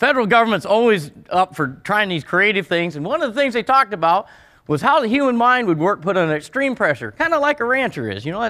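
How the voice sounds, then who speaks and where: Fast and animated, a man with a rural western US accent speaks in a raised, projected, high-pitched voice, bright and sharp in tone, with very wide pitch swings, recorded very cleanly against a silent background. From Montana. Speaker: rancher. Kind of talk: conference speech. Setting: stage with audience.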